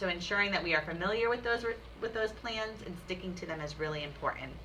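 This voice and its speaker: A woman talks very fast with ordinary pitch variation. Noticeable background noise and audible room echo are present. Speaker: teacher trainer. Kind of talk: training presentation.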